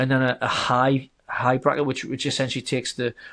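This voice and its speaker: A man with a slight northern English accent speaks at a very fast pace in a medium pitch. The background is quiet. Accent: subtle northern English. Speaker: software company founder. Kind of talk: podcast interview. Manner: hesitant, many repeated words.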